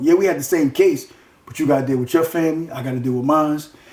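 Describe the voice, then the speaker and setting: Very fast speech with fairly even intonation, over noticeable background noise. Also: man. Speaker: former bank robber interviewee. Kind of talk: casual interview. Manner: loud; forceful, passionate delivery.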